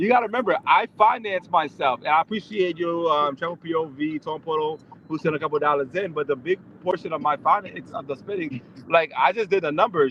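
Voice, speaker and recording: The speaker has an American accent. The pace is fairly quick, with ordinary pitch variation. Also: man. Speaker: IRL live streamer. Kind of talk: casual chat. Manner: fast; rambling.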